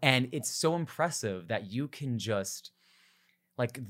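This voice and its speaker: A man with a normal speaking voice, lively intonation and a moderate pace. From New Jersey, US. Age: 20s. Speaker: podcast host. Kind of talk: interview. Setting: video call.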